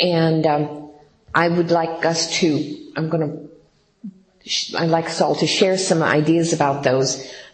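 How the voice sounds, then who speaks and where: A woman's fairly low, monotone voice at a fairly slow pace, with flat intonation and audible room echo. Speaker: workshop leader at recovery program. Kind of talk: workshop talk. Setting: room with audience. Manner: halting.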